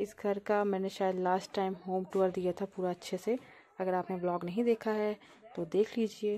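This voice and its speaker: A woman speaks fairly slowly at a medium pitch with a dark, mellow tone. Her intonation is monotone and flat, with light background noise. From Uttarakhand, Pauri Garhwal; Uttarakhand. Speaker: vlogger. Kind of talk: travel vlog narration. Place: open country. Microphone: phone near.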